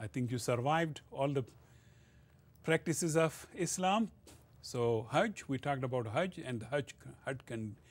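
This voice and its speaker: A man with a Pashto accent speaks at a moderate pace, his fairly high voice somewhat breathy and his intonation lively. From northwest Pakistan, Pashtun area. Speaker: college lecturer. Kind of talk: lecture. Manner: hesitant, filler-heavy.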